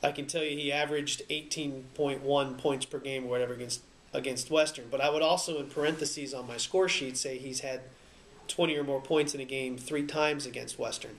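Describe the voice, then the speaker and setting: Against noticeable background noise, a man speaks fairly quickly in a fairly high voice with fairly even intonation. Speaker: sports radio broadcaster. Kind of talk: explaining play-by-play broadcasting technique in an interview-style talk. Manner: conversational, fluent.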